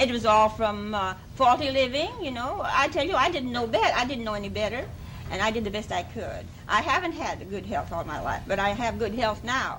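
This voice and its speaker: Noticeable background noise sits behind a woman talking at a fairly quick pace with lively intonation. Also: fairly high pitch for a woman. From France. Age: 70s. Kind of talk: TV interview answer. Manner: enthusiastic.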